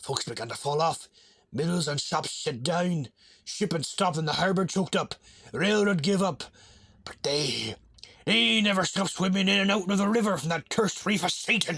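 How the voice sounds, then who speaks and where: A man speaks in a raspy, high put-on character voice with a New England accent as part of the act. His intonation is lively and his pace moderate. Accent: old rural New England dialect. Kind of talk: weird tale reading. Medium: read story. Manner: rambling, feverish.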